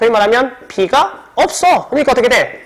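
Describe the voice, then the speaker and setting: Noticeable background noise sits under talking that moves at a fairly quick pace. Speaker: high school science teacher. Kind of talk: lecture. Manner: fast.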